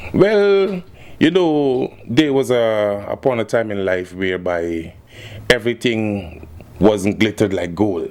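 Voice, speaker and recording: Lively intonation carries the very slow speech over noticeable background noise. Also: man, fairly low pitch for a man. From Guyana (Linden), later Trinidad from age 14. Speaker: musician. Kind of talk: casual interview.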